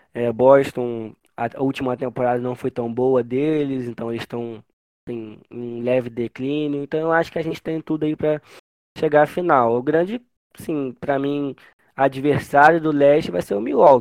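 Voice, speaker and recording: A man with a plain, everyday voice speaks at medium pitch and a moderate pace with ordinary pitch variation, the sound dry and close with no echo against a quiet background. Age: 20s. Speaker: basketball fan page owner, journalist. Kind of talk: casual chat.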